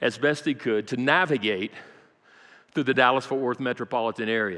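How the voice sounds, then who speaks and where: In an American accent, the voice runs at a very fast pace with a bright, sharp tone against a quiet background. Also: man. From Brazil (American missionary kid). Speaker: pastor. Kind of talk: sermon. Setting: church.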